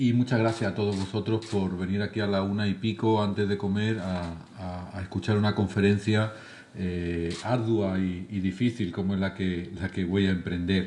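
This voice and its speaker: A man's fairly low voice, dark and mellow, in a flat monotone at a moderate pace. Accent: southern Spanish. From southern Spain. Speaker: charity leader, lecturer. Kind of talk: lecture. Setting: lecture hall with audience.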